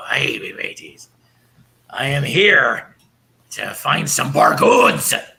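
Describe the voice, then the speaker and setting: In a raspy, put-on character voice, a man talks at a very slow pace, leaving long, frequent pauses. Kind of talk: pirate-style speech. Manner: jolly, bluff.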